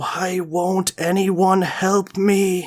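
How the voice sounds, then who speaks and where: Someone puts on a character voice at a middle pitch with monotone, flat intonation. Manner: plaintive.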